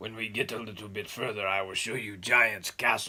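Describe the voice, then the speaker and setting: A man does a put-on character voice that is raspy and fairly low. He speaks at a moderate pace. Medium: read story.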